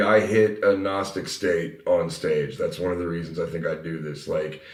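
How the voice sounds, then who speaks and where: A man speaks at a fairly quick pace with hardly any pauses and ordinary pitch variation. Audible room echo surrounds his voice. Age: 30s. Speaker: metal band vocalist. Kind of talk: casual chat. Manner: animated.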